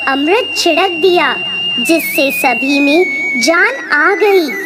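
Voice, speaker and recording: In a cartoonish character voice, a woman speaks at an extremely high pitch. Her pace is very slow, with clear background noise behind her. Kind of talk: devotional folk tale narration. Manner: steady, measured.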